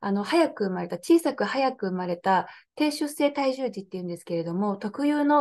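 At a moderate pace, a woman with a fairly high pitch speaks with lively intonation. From Nagoya, Aichi, Japan; Aichi, Japan. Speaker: political candidate; interviewee, candidate. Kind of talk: interview. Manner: hesitant, many fillers. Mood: earnest, calm. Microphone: video call.

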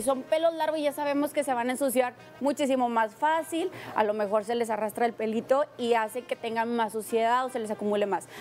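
Over faint background music, a woman talks at a fairly quick pace with a high pitch and ordinary pitch variation. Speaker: guest. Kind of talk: interview answer. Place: studio. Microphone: lapel.

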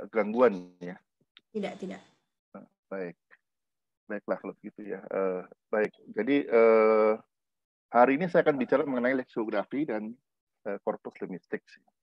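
In a dry room with no echo and a quiet background, a man at medium pitch speaks with lively intonation, big swings in loudness, and long, frequent pauses. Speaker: linguistics professor. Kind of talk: lecture. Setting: video call. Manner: hesitant, many fillers; deliberately measured pace. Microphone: webcam.

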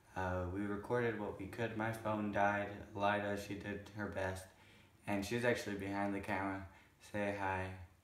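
A man's fairly low voice at a moderate pace, monotone and flat, with audible room echo and noticeable background noise. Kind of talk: casual vlog talk. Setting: at home, on camera. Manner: halting.

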